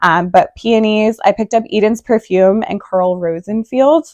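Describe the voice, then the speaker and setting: This woman has a dark, mellow tone and ordinary pitch variation. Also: dry, close sound with no echo. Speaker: gardening vlogger. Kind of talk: casual tutorial. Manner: hesitant fillers.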